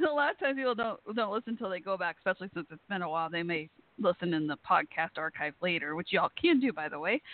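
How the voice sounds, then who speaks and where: Someone with an American accent talks at a very fast pace. There are hardly any pauses. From Texas. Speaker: podcast host. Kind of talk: casual chat. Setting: internet radio call-in show.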